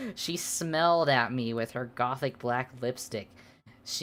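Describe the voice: Plain reading aloud, with ordinary pitch variation.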